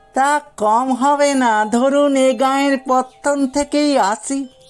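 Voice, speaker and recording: Putting on a character voice, a man speaks at a fairly slow pace while faint music plays in the background. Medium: read story. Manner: humble, deferential, ingratiating.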